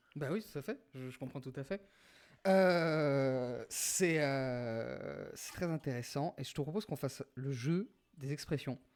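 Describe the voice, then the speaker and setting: On a very clean recording with a silent background, a man speaks at a very slow pace with a fairly high pitch and big swings in loudness. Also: ordinary pitch variation. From rural France. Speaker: podcast host drawing game show. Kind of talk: casual chat. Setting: livestream with chat. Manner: hesitant, many fillers.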